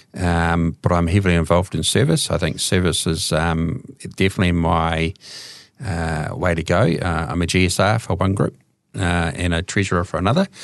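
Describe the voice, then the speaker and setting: His pitch is very deep and low, and his intonation is fairly even. The man speaks at a moderate pace. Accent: New Zealand. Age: 50s. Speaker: addiction counsellor and recovering alcoholic. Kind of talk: testimony. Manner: hesitant, many fillers.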